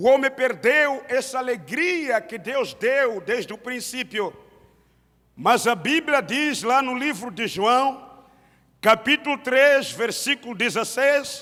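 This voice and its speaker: A man speaks in a raised, projected voice with a Mozambican accent, his pitch extremely high. He talks at a very slow pace with ordinary pitch variation. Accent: Mozambican, non-native Portuguese. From Mozambique. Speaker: pastor. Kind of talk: sermon. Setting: church service.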